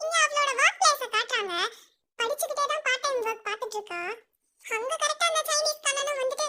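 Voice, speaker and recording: A woman's extremely high-pitched voice at a moderate pace. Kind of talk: colloquial drama recap. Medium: solo performance. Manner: fast, conversational, wry.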